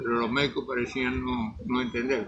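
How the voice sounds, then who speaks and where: Noticeable background noise can be heard. A man talks over it at a moderate speed. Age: 80s+. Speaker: magazine director, covid survivor. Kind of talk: interview. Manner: halting.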